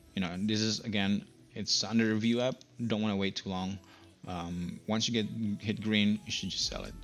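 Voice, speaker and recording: A man's fairly low, monotone, flat voice at a moderate pace, with music in the background. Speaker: day trader video blogger. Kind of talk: screen-share trading recap. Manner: many filler words, halting.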